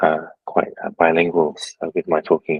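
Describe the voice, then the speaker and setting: The pace is moderate. The speaker has an Australian accent. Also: man. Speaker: tattoo artist. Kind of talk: casual chat. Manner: halting.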